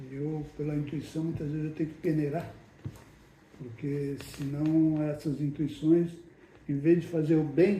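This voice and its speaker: A man with a fairly high pitch talks in a flat monotone with long, frequent pauses. Room echo is audible, along with noticeable background noise. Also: fairly slow pace. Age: 70s. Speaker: spiritist medium and group leader. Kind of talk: casual chat.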